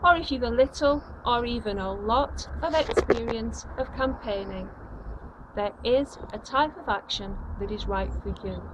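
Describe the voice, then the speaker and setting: A woman talks fairly slowly while noticeable background noise plays underneath. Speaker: anti-austerity campaigner. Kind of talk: campaign video address. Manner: formal.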